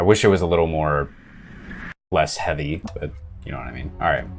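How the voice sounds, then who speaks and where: Music plays in the background. The intonation stays fairly even. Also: man. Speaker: gaming YouTuber. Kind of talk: gameplay commentary.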